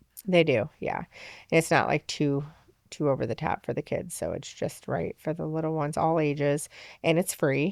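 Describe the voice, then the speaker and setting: In a very deep, low pitch and fairly even intonation, a woman speaks on a very clean recording with a silent background and a dry, close sound with no echo. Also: moderate pace. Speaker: festival organizer. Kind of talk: casual interview chat.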